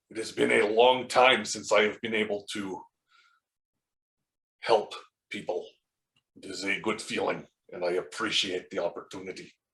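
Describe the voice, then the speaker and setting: Putting on a raspy character voice, a man with a fairly low pitch speaks at a moderate pace, with big swings in loudness and long, frequent pauses. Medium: actual play. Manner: formal, measured, no contractions.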